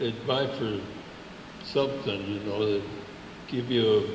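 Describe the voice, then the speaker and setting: Noticeable background noise sits behind a man's voice. He talks at a fairly slow pace with ordinary pitch variation. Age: 80s+. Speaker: WWII veteran. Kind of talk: interview answer.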